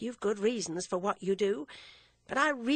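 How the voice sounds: The text is read in a natural reading voice.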